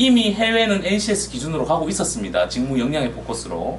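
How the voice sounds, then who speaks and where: Talking at a fairly quick pace with very wide pitch swings, a man with a Gyeongsang accent is heard amid audible room echo. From South Korea, Daegu (Gyeongsang). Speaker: overseas employment consultant. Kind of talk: presentation seminar.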